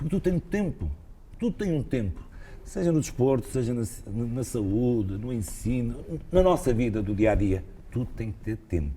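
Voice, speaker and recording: The voice has a dark, mellow tone and is somewhat breathy. It moves at a moderate pace with very wide pitch swings. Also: man, medium pitch for a man. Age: 60s. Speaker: retired cardiologist and former basketball player. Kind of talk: interview. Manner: hesitant, repeats words.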